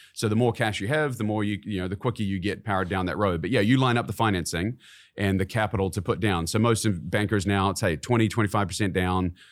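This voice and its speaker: In a very clean recording with a silent background, a man with a New Zealand accent talks very fast at a fairly low pitch with ordinary pitch variation. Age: 40s. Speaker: CEO of a real estate investment company. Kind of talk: casual interview chat. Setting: studio.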